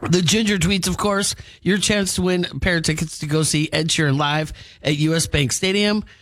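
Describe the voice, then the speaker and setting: Recorded very cleanly against a silent background, a man with a high pitch speaks at a moderate pace with ordinary pitch variation. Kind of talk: radio DJ patter: weather, celebrity news, station promos. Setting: radio studio broadcast. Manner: upbeat, chatty and animated, laughing and reacting mid-story.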